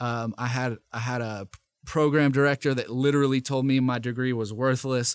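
With an American accent, a man at medium pitch speaks in monotone, flat intonation with big swings in loudness, in a dry, close sound with no echo. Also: moderate pace. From US South, Nashville, Tennessee. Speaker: radio host and rapper. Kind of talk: casual interview.

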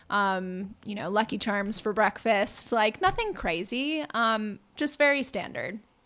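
A woman with an American accent has an ordinary speaking voice, fairly high in pitch with lively intonation. She goes at a fairly slow pace with hardly any pauses. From US Northeast, Massachusetts (near Boston). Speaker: plant-based chef. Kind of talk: casual chat. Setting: home studio.

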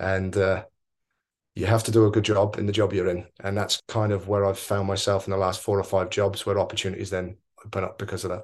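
With a southern English accent, a man with a fairly low pitch talks at a very fast pace in a monotone, flat intonation over a quiet background. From Oxford, southern England. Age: 30s. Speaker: football coach. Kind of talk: interview. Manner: hesitant, many fillers.

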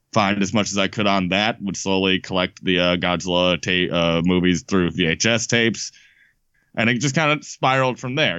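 A man with an American accent, fairly low in pitch, at a fairly quick pace, with ordinary pitch variation. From Chicago. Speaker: podcast host, monster movie expert. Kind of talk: casual chat.

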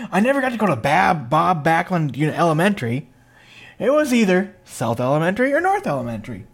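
Talking very fast in an Upper Midwest accent, a man with a high voice swings his pitch very widely. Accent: Upper Midwest American. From Minnesota (Princeton, near Minneapolis). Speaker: wrestling podcast host. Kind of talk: casual chat.

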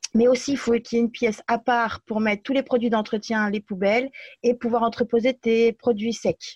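A woman's fairly high, monotone voice with flat intonation at a moderate pace, against a quiet background. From France. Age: 30s. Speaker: aspiring cake designer. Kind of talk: interview conversation.

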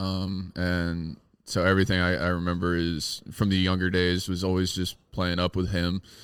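Speaking with an American accent, a man uses a very deep, low pitch and a monotone, flat intonation at a moderate pace. The recording is very clean, with a silent background. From Texas. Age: 20s. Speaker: baseball pitcher. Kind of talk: casual interview.

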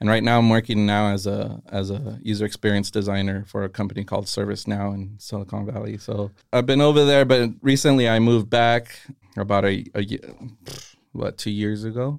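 A man's unremarkable speaking voice, fairly low in pitch, at a fairly quick pace with fairly even intonation. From Castroville, California (Monterey County, US). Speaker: greeting card business owner and designer. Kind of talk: casual interview.

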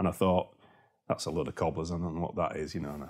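With a Yorkshire accent, a man speaks in a very deep, low pitch with ordinary pitch variation. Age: 50s. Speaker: property investor. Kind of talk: interview. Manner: animated.

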